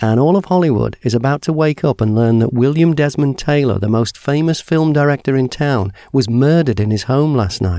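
A man with a British accent speaks in a fairly high pitch with a dark, mellow tone, his loudness very even against a quiet background. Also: ordinary pitch variation, fairly quick pace. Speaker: podcast host. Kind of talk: scripted intro and interview.

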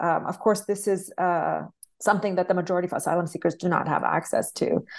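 Her voice fairly low for a woman, she speaks with vocal fry and fairly even intonation. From Palestine (village). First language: Arabic and English, bilingual. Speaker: anthropologist, author. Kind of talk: interview. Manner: halting, many fillers.

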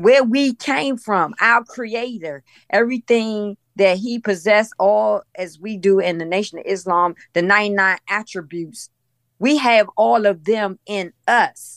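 An unremarkable speaking voice moves at a fairly slow pace with ordinary pitch variation, in a dry, close sound with no echo. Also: woman, medium pitch for a woman. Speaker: study group participant. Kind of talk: casual chat. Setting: video call.

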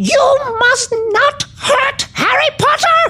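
A squeaky, put-on character voice at an extremely high pitch talks very slowly. Light background noise sits behind it. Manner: pleading, frightened.

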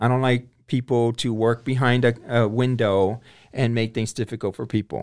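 A man's medium-pitched monotone with flat intonation at a moderate pace, on a very clean recording with a silent background. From South Texas, Corpus Christi. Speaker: municipal judge. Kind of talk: interview.

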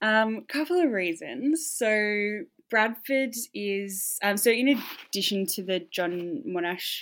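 A woman speaks with an Australian accent and lively intonation. The recording is very clean, with a silent background. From Tasmania, Australia. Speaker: campaign founder and scholarship recipient. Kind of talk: interview. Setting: hotel quarantine room.

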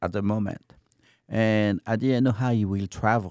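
In a French accent, a man with a fairly low pitch and a dark, mellow tone speaks at a moderate pace, recorded dry and close with no echo on a very clean track with a silent background. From France. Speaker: restaurant owner and chef. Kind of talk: casual interview.

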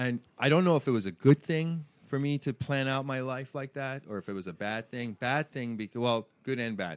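A man with an American accent uses a normal speaking voice at medium pitch, moderate pace and ordinary pitch variation, in a dry, close sound with no echo. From Iran, raised in Washington DC/Virginia area. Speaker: hair industry brand manager. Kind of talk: interview. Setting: salon.

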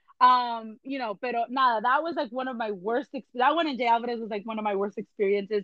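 Talking at a very fast pace, a woman speaks with a fairly high pitch. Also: ordinary pitch variation, hardly any pauses. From Los Angeles, US, Puerto Rican and Mexican parents. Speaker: businesswoman. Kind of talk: casual chat. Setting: podcast. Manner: fast, talkative.

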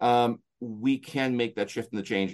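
Over a quiet background, a man with a Canadian accent talks in a plain, everyday voice at a medium pitch with fairly even intonation. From Canada, rural. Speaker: motivational speaker and coach. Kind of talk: interview. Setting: remote call.

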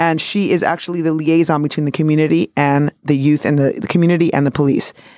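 A woman with a New York accent, very deep and low in pitch, dark and mellow in tone, at a very fast pace, in a dry, close sound with no echo. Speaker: podcast co-host. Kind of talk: casual chat. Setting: studio. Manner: animated.

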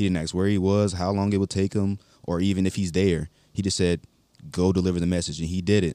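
Very fast and monotone, a man with an American accent speaks in a very deep, low voice with a dark, mellow tone, captured in a very clean recording with a silent background and a dry, close sound free of echo. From Baltimore, Maryland. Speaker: young Marine corporal. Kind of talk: casual interview chat.

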